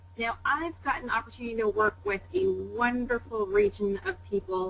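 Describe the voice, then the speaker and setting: A woman with a Canadian accent at a moderate pace, with noticeable background noise. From Canada. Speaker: pharmaceutical sales executive. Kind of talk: webinar interview. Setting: webinar call.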